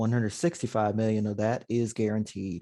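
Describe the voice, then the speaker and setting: Here a man speaks in a dark, mellow tone. The background is quiet. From Maryland, US. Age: 30s. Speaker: sports podcast co-host. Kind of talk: sports news rundown; casual podcast chat.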